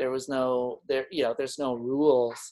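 Speaking in a Manitoban accent, a man holds a medium pitch with monotone, flat intonation. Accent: Canadian (Manitoba). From Winnipeg, Manitoba, Canada. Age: 40s. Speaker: artist and craftsman. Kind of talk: casual chat.

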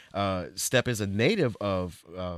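Recorded very cleanly against a silent background, with a dry, close sound and no echo, a man speaks in a plain, everyday voice at a fairly low pitch with ordinary pitch variation. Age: 30s. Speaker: podcast host. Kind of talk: casual chat.

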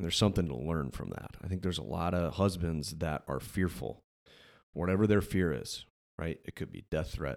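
With a very deep, low pitch and some vocal fry, a man talks at a fairly quick pace and ordinary pitch variation in a very clean recording with a silent background. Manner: animated, casual.

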